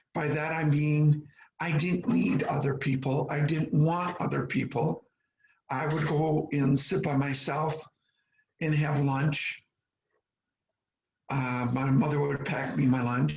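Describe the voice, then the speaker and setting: A man speaks in a somewhat breathy voice at a very slow pace, with fairly even intonation and long, frequent pauses. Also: fairly high pitch for a man. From US Midwest, small Michigan town. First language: Polish. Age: 70s. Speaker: interviewee telling life story. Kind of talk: oral history interview. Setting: video call.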